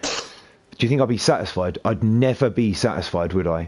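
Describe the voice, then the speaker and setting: A man with a British accent speaks in an angry tone against a quiet background. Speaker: gaming streamer. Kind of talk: casual chat. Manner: sounds angry and upset; talkative, non-stop.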